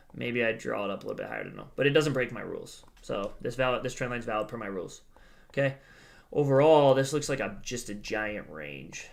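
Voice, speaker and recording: A man talks at a very fast pace, his loudness rising and falling sharply. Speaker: crypto trading youtuber. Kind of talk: chart analysis tutorial. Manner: monotone; casual, hesitant with fillers.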